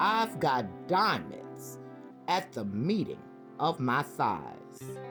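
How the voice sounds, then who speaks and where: With music in the background, a woman with an American accent speaks at a very slow pace. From Brooklyn, New York. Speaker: retired nurse. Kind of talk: poetry reading.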